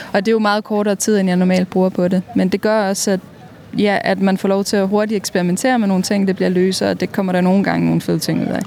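Very fast and monotone, a woman speaks with flat intonation and very even loudness over noticeable background noise. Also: medium pitch for a woman. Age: 30s. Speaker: mural painter. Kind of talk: interview.

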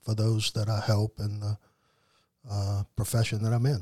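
In a very clean, dry, close recording with a silent background, a man with an American accent speaks at a moderate pace, fairly low in pitch, somewhat breathy, dark and mellow, with flat, monotone intonation. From New Orleans, Louisiana. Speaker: addiction therapist in long recovery. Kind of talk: casual interview testimony.

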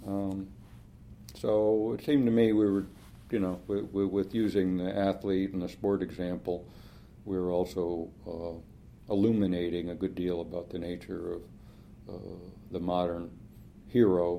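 With a Californian accent and a dark, mellow tone, the voice moves at a moderate pace with fairly even intonation and long, frequent pauses, in audible room echo. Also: man. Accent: General American (California). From Los Angeles, US. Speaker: professor. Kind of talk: interview. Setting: in person at a conference. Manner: hesitant, many fillers.

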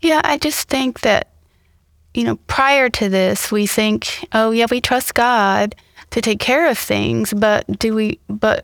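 A woman with an American accent speaks in a normal speaking voice, her pitch fairly high, its variation ordinary, and her loudness very even. She talks at a fairly slow pace on a very clean recording with a silent background and a dry, close sound with no echo. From Mississippi, US South; teens in Ohio. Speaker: church member, hurricane flood survivor. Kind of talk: interview storytelling.

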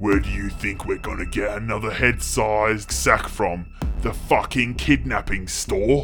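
A man's put-on character voice at a fairly low pitch and moderate pace, with clear music in the background

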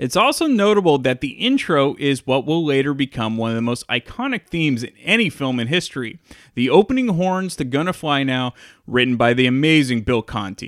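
Lively in intonation and fairly high in pitch, a man speaks in a plain, everyday voice at a fairly quick pace. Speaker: podcast host. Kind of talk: film commentary.

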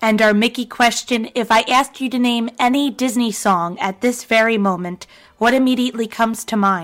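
Here is a woman at a moderate pace. Her fairly even intonation marks an unremarkable speaking voice. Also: fairly high pitch for a woman. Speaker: podcast host. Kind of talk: interview.

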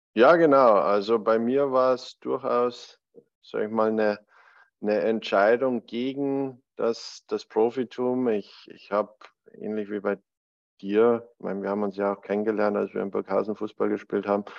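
A man speaks at a medium pitch in an ordinary speaking voice. His pace is moderate and his intonation fairly even. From Bavarian Alpine foothills, Germany. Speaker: podcast co-host, former college soccer goalkeeper. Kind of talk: casual chat.

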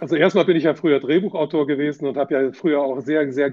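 A man speaks at a very fast pace in a fairly high voice with fairly even intonation. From Southeast Asia and Germany. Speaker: financial journalist and author. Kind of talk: interview.

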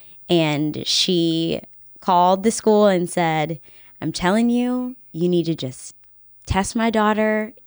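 On a very clean recording with a silent background, a woman with an American accent and an unremarkable speaking voice talks at a fairly slow pace and fairly low pitch, with ordinary pitch variation. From Virginia, Henrico County near Richmond. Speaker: news anchor and reporter. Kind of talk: casual chat. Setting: home studio.

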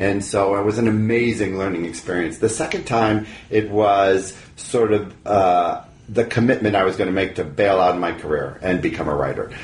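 A man speaks at a moderate pace with a fairly low pitch and ordinary pitch variation. There is noticeable background noise. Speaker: author and writing teacher. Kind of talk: casual interview.

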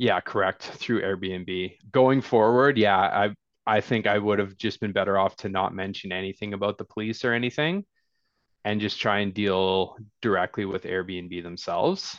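Speaking with a Canadian accent, a man uses a plain, everyday voice, fairly low in pitch with fairly even intonation, at a moderate pace, recorded dry and close with no echo against a quiet background. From northern British Columbia, Canada. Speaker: real estate investor. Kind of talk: casual interview.

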